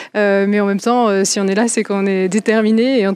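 Fairly high in pitch with fairly even intonation, the woman has a normal speaking voice. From France. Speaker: astronaut candidate. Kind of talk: press interview.

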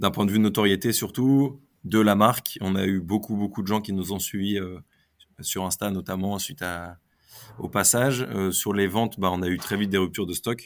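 An ordinary speaking voice from a man with a fairly low pitch and fairly even intonation. He keeps a moderate pace in a very clean recording with a silent background. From northern France, Lille area. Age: 30s. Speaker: entrepreneur. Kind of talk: interview.

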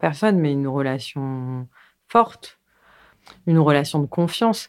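This woman's voice sits at a very deep, low pitch, and she talks at a fairly slow pace. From Paris and its suburbs, France. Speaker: documentary filmmaker. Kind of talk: interview. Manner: halting, with frequent repetitions.

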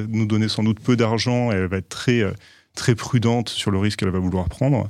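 Here a man speaks at a fairly low pitch with fairly even intonation. His is an unremarkable speaking voice. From Provence, southern France (Aix-en-Provence). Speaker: lawyer, law firm partner. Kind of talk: interview.

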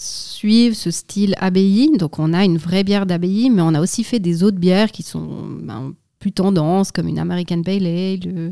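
In an unremarkable speaking voice, a woman of medium pitch talks at a fairly slow pace with ordinary pitch variation. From Switzerland, Valais (Sierre). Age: 30s. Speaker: brewery director. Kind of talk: interview.

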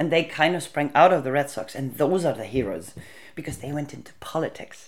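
A woman speaks with an Icelandic accent. Her intonation is lively. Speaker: interviewee on feminist history. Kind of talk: interview.

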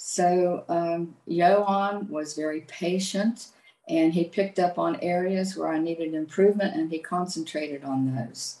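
Speaking with an Appalachian accent, a woman talks at a fairly slow pace and a fairly low pitch with ordinary pitch variation. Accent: Appalachian American English. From US, southern West Virginia. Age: 70s. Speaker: retired chemist, language student. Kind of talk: interview.

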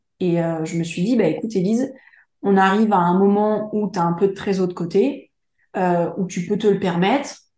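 A woman speaks at a medium pitch and a moderate pace. Her pitch varies an ordinary amount, with audible room echo. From France, Charente. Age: 30s. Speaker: interior decorator and entrepreneur. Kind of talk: interview. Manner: hesitant, many fillers.

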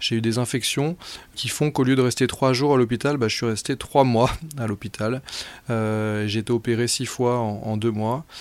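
Here a man talks at medium pitch with fairly even intonation. The pace is fairly slow. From Brittany, France. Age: 30s. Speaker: amateur athlete and adventurer. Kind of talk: personal testimony narration. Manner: halting, with frequent repetitions and fillers.

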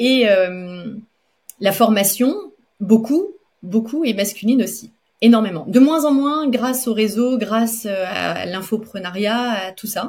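A woman speaks at a very slow pace, her somewhat breathy voice moving with ordinary pitch variation. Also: fairly high pitch for a woman. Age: 40s. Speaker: pastry chef and entrepreneur. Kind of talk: interview. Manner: halting.

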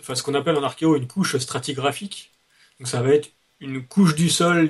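A man speaks with a somewhat breathy voice. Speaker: youtuber. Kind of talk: explanatory discussion.

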